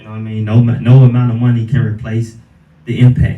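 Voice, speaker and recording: A man's somewhat breathy voice of medium pitch, dark and mellow in tone, with monotone, flat intonation. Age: 20s. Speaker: fighter. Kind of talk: interview.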